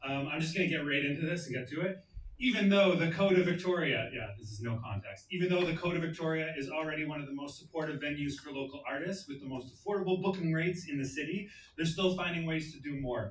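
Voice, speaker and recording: Noticeable background noise surrounds a man talking at a very fast pace. His fairly high pitch shows ordinary pitch variation. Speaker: open mic host. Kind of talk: event announcement. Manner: loud.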